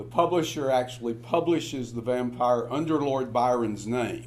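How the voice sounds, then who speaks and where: Music in the background and audible room echo behind a man's voice. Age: 70s. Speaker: professor. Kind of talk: lecture. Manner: halting, many filler words.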